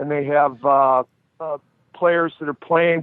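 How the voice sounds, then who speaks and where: Speaking at a moderate pace with a Boston accent, the man keeps his intonation fairly even. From US Northeast, Boston (Dorchester). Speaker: former hockey enforcer and referee. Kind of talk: casual chat.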